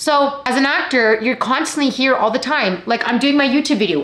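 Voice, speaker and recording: A woman speaks in a high, animated voice with lively intonation at a moderate pace, hardly pausing, and there is audible room echo. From Canada. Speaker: actor and YouTuber; actor, YouTuber. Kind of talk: vlog talk to camera. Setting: at home. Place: home room.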